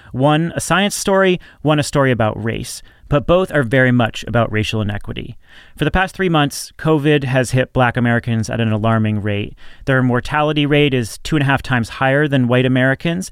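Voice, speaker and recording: This is an ordinary speaking voice, a man at a medium pitch. He talks at a fairly quick pace with ordinary pitch variation. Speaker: podcast host. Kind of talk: podcast discussion, host-led.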